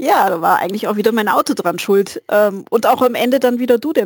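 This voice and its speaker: A woman's fairly quick speech with vocal fry and ordinary pitch variation, in a dry, close sound with no echo. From Bavarian Swabia, near Augsburg. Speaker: hobbyist. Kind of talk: casual chat.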